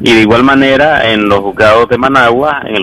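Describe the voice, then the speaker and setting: A man's ordinary speaking voice, medium in pitch with fairly even intonation, at a fairly quick pace. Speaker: human rights lawyer. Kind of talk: expert interview.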